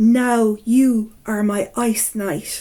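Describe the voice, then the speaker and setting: A woman uses a put-on character voice at a fairly high pitch. Her intonation stays fairly even. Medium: read story. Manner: cold, haughty.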